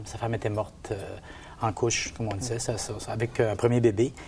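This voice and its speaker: This man speaks at a medium pitch and a fairly quick pace. His intonation stays monotone and flat. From Gaspésie, Quebec. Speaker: men's group participant. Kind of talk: testimony. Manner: halting.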